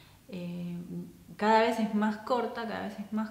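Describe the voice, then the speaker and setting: A woman with an Argentine accent talks at a fairly slow pace with ordinary pitch variation, and audible room echo surrounds her voice. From Argentina. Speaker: counselor. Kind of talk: casual talk to camera. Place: home room.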